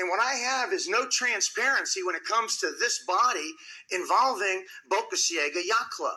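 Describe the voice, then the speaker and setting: A man uses a raised, projected voice with a high pitch. His intonation is lively and his tone bright and sharp. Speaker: public commenter at city council meeting. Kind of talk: public comment speech. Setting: city council chamber. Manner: loud; confrontational.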